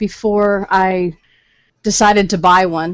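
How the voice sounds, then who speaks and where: The speaker is a woman. Her pitch is medium. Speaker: livestream co-host. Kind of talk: casual chat. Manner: loud.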